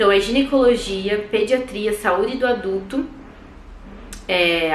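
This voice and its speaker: Speaking at a very slow pace with lively intonation, a woman is heard with audible room echo. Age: 20s. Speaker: medical student vlogger. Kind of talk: casual vlog talk.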